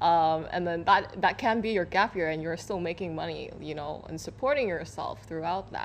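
Over light background noise, a woman with a fairly low pitch talks at a fairly quick pace. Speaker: media editor; guest. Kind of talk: panel discussion. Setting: studio. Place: studio.

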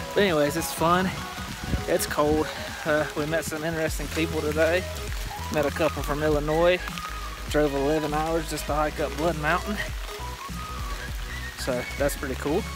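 A man at a moderate pace with long, frequent pauses, clear music in the background, and a dry sound with no echo. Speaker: hiker vlogger. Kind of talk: casual vlog chat. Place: forest. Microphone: phone near.

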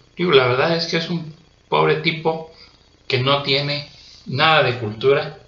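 Audible room echo surrounds a man as he speaks. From Mexico. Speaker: political commentator. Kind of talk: political monologue. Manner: angry, ranting; hesitant fillers. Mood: indignant, scornful. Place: home room. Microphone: webcam.

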